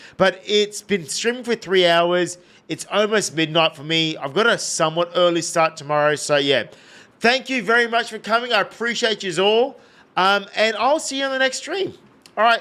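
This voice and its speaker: This man has an Australian accent and a high pitch, with a bright, sharp tone. He speaks at a moderate pace in a raised, projected voice with lively intonation. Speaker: video game streamer. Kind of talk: live gameplay stream chat. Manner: casual, rambling.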